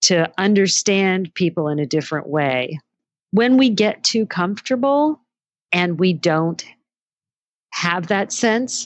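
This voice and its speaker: A woman talks in an unremarkable speaking voice with a fairly low pitch and lively intonation. The background is quiet. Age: 60s. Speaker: entrepreneur and former magazine editor. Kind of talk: interview.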